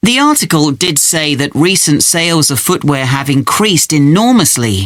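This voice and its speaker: A moderate pace with very wide pitch swings. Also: man. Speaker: student. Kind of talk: scripted exam dialogue.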